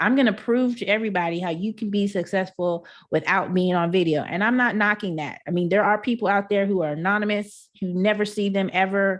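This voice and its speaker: A woman with a Texan accent, medium pitch, an animated tone and a fairly quick pace against a quiet background. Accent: Texan country. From Texas, Houston. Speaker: entrepreneur, online marketer. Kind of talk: webinar presentation. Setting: live online broadcast from home.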